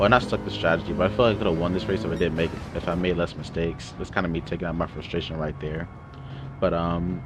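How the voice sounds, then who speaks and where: A man's very deep, low voice at a very fast pace, with lively intonation over noticeable background noise. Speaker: sim racing gamer commentating own race. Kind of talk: voice-over race commentary. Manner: quieter than usual; hesitant, many fillers.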